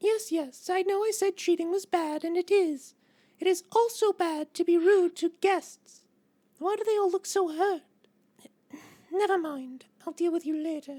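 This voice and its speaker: A put-on character voice speaks at an extremely high pitch. The pace is moderate. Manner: prim, dismissive and haughty.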